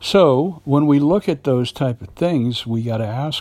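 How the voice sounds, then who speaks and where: Over a silent background in a very clean recording, a man speaks somewhat breathily with very wide pitch swings. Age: 60s. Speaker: actor and acting podcast host. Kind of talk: solo monologue podcast. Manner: halting, many fillers.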